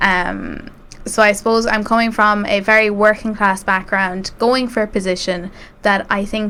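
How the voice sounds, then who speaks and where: Speaking at a moderate pace, a woman with an Irish Midlands accent keeps a medium pitch in a flat monotone. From Ireland, rural County Westmeath. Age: 20s. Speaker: student election candidate. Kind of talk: interview.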